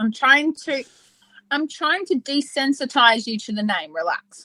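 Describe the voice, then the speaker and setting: In an Australian accent, a woman projects a raised, high-pitched voice with a bright, sharp tone and lively intonation at a fairly slow pace, the sound dry and close with no echo. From Western Australia. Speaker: podcast co-host. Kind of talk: casual chat.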